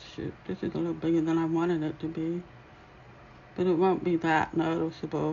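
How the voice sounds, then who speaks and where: Quiet, fairly quick speech from a woman at a fairly low pitch with monotone, flat intonation. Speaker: dot mandala painting teacher. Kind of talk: live tutorial. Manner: quiet while concentrating.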